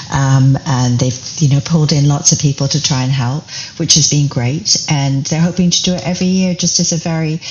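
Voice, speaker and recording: This woman's voice is very deep and low, and somewhat breathy. Her pitch varies in an ordinary way. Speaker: community founder. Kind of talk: podcast interview answer.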